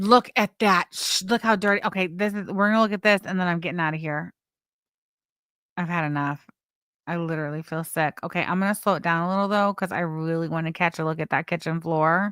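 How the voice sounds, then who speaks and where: With a plain, everyday voice, a woman talks at a fairly quick pace in a fairly low pitch with fairly even intonation, the sound dry and close with no echo and the recording very clean over a silent background. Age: 40s. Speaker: YouTube commentary streamer. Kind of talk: live stream commentary.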